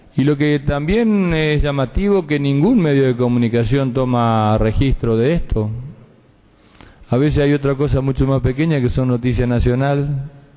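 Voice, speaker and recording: This is an ordinary speaking voice with ordinary pitch variation, a moderate pace and very even loudness. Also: man, fairly high pitch for a man. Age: 50s. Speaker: provincial senator. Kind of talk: legislative floor speech. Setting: senate chamber session.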